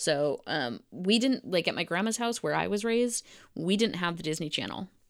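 Vocal fry marks this fairly slow delivery, set in a very clean recording with a silent background. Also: woman. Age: 30s. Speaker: podcast co-host. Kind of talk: casual chat.

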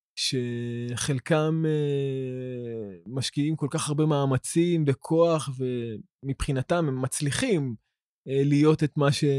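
A man with a fairly high pitch speaks at a very slow pace with hardly any pauses. His pitch varies in an ordinary way, and the sound is dry and close, with no echo. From Israel, Ramla. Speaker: woodworker and philosophy student. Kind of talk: podcast interview. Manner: halting, many repetitions and fillers.

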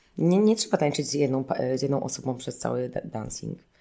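A woman's dark, mellow voice with vocal fry, at a very fast pace. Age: 30s. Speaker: choreographer and dancer. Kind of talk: interview. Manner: hesitant, many fillers.

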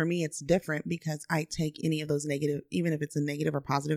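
A woman talks at a very fast pace with an American accent, her pitch very deep and low. The sound is dry and close with no echo, on a very clean recording with a silent background. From Austin, Texas. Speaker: podcast co-host. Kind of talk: casual chat.

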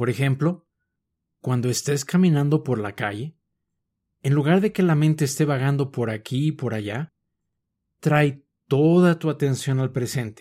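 A man speaks with a Mexican accent in a calm tone at a fairly high pitch. His pace is fairly slow, with ordinary pitch variation and long, frequent pauses. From Mexico City. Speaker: mindfulness podcast host. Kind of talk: scripted mindfulness talk.

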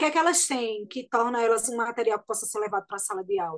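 Her intonation is lively. The woman's pitch sits fairly high. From Pernambuco Agreste, Brazil. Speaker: singer and actress. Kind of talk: radio interview.

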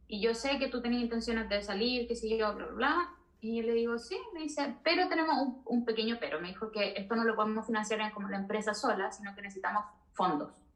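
A woman's fairly high voice at a very fast pace, with ordinary pitch variation and noticeable background noise. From southern Chile. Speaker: veterinarian and researcher. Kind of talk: interview.

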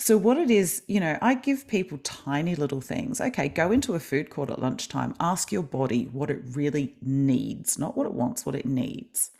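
A woman with an Australian accent, very deep and low in pitch, dark and mellow in tone, swinging very widely in pitch at a moderate pace with hardly any pauses. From Australia, Melbourne. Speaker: kinesiologist and life coach. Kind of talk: interview.

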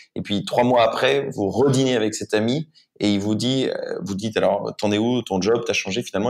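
Here is a man with an unremarkable speaking voice at a medium pitch. His pitch varies in an ordinary way, and his pace is moderate. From France. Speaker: startup founder and CEO. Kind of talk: interview.

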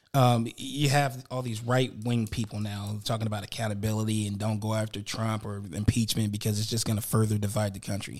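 On a very clean recording with a silent background, a man uses an ordinary speaking voice at a fairly quick pace with fairly even intonation. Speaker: podcast co-host. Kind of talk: casual chat.

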